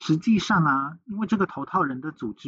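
In a quiet background, a man with a Taiwanese accent speaks at a moderate pace in a fairly high pitch, his intonation lively. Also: dry, close sound with no echo. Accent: Taiwanese Mandarin. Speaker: podcast host. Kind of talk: true crime storytelling.

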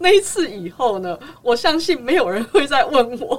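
A woman speaks at a fairly slow pace with very wide pitch swings. Noticeable background noise is present. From Taiwan, raised in Los Angeles from age nine. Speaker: concert pianist. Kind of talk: interview conversation. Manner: forceful, persuasive.

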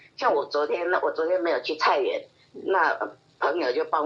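A woman talks over noticeable background noise. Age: old. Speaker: retiree, hobby gardener. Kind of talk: casual interview.

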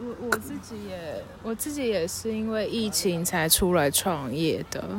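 A woman's voice sits at a medium pitch. She talks at a fairly slow pace. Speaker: textile print artist and small business founder. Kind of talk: casual chat. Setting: outdoors at a seaside hillside cafe.

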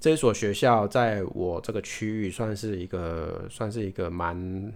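A Taiwanese accent at a very slow pace. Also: man. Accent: Taiwanese Mandarin. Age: 30s. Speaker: podcast host. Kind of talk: casual monologue. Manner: halting, with repetitions.

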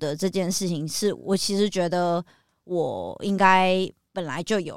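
A woman speaks fairly slowly in an unremarkable speaking voice, medium in pitch with ordinary variation. The recording is very clean, the background silent. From Taiwan (New Taipei). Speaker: author and music video director. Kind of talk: interview about mental illness.

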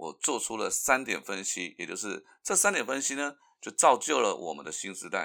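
A bright, sharp tone with vocal fry moves at a fairly quick pace through very wide pitch swings. The recording is very clean, with a silent background. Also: man. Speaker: podcast host. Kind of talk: solo commentary.

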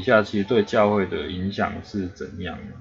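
A man with a Taiwanese accent at a moderate pace. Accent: Taiwanese Mandarin. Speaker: podcast host. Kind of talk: casual chat.

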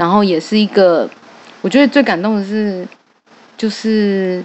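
This woman's voice sits at a medium pitch, delivered at a fairly slow pace with fairly even intonation. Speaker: clan association organizer and event emcee. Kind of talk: casual chat.

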